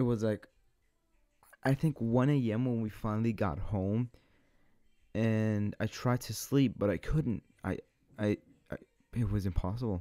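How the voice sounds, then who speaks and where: In a quiet background with dry sound and no echo, a man with a dark, mellow tone speaks at a fairly low pitch and fairly slow pace, with ordinary pitch variation and long, frequent pauses. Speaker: vlogger. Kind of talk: casual vlog chat. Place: home room. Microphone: studio mic.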